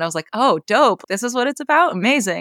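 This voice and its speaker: A woman with an American accent and a normal speaking voice, lively intonation, a fairly quick pace, and a dry, close sound with no echo. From US Northeast, rural western Maine. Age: 20s. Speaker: bassist and composer. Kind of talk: casual interview.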